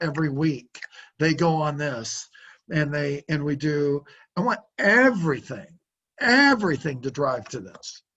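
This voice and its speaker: This is a plain, everyday voice moving at a moderate pace. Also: man. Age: 60s. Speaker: car sales trainer. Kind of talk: business coaching consultation.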